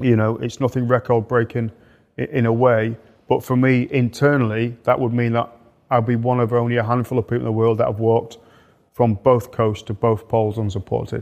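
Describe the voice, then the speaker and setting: Someone with an English accent talks at a fairly quick pace in a monotone, with flat intonation. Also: man, medium pitch for a man. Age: 50s. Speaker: polar explorer and leadership mentor. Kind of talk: interview. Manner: repetitive hesitant starts.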